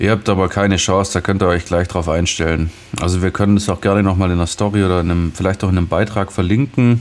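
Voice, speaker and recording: With a very deep, low pitch, a man rushes along at a very fast pace, his intonation fairly even. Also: very even loudness. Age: 20s. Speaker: podcast co-host. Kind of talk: casual chat with quiz game. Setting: video call.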